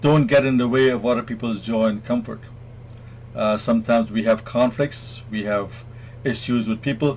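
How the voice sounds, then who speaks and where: A man's medium-pitched, somewhat breathy voice in a monotone, flat intonation at a moderate pace. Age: 60s. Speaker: self-help vlogger. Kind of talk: talk to camera, advice monologue. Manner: hesitant fillers.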